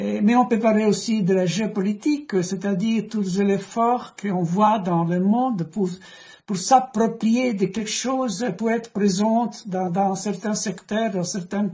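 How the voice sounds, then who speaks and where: The speech comes at a fairly slow pace in a non-native accent. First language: not French (speaking French). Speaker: economist interviewing an author. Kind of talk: book discussion interview. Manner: halting, many repetitions.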